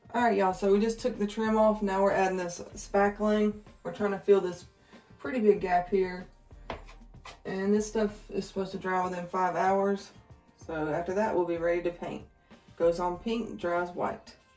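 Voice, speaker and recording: A woman speaks in a monotone, flat intonation with long, frequent pauses. The room echoes audibly, and faint music plays in the background. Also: moderate pace. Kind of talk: casual vlog chat. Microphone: phone near.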